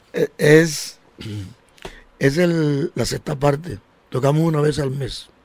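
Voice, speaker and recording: With a fairly high pitch, a man speaks at a very slow pace, somewhat breathy, with fairly even intonation and long, frequent pauses. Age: 60s. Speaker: band director and musician. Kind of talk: radio interview.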